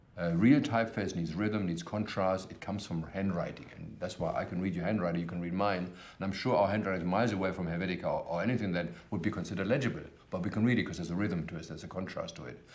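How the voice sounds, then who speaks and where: A man with a German accent speaks very fast with hardly any pauses, his very deep, low voice moving with ordinary pitch variation over audible room echo. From Germany. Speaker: type designer. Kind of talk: documentary interview. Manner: loud.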